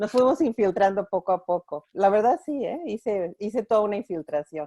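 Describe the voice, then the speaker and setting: In a Mexican accent, a woman speaks at a moderate pace with a medium pitch, a dark, mellow tone and very wide pitch swings, in a dry, close sound with no echo. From Mexico (Mexico City). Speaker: clinical supervisor at a women's organization. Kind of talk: online conference interview.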